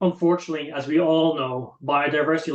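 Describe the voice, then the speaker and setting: Talking at a very fast pace, a man with an Irish accent uses a fairly high pitch. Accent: Irish, drops th sounds. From Ireland. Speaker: conservation project presenter. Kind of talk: webinar presentation. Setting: online webinar.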